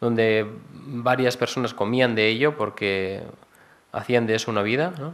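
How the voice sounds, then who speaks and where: Fairly even intonation from a man at medium pitch. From Basque Country, Gipuzkoa. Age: young. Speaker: engineer in development cooperation. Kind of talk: talk Q&A with audience. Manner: hesitant, many fillers.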